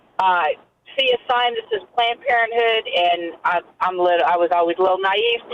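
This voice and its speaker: A moderate pace and ordinary pitch variation in a woman's voice of medium pitch, an ordinary speaking voice. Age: 50s. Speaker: caller. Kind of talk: personal testimony.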